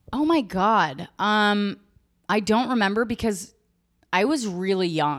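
Very slow speech with lively intonation, on a very clean recording with a silent background. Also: woman, medium pitch for a woman. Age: 30s. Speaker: actress and comedian. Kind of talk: casual chat. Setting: at home, in her apartment.

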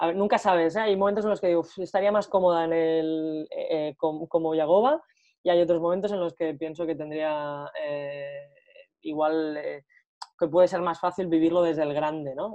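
Speaking at a moderate pace, a woman uses a fairly low pitch. Her intonation is fairly even. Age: 30s. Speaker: football coach and commentator, former player. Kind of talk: interview. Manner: hesitant, with many fillers.

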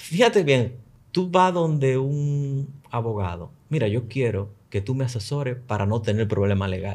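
Lively in intonation, a man with a medium-pitched, somewhat breathy voice talks at a fairly slow pace. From Dominican Republic, Luperón, Puerto Plata. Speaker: tech and tourism entrepreneur. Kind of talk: casual chat.

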